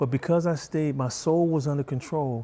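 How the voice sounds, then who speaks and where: Somewhat breathy, a man speaks at a fairly high pitch in a dark, mellow tone. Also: very clean recording, silent background. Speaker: martial arts instructor and author. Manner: soft-spoken and gentle.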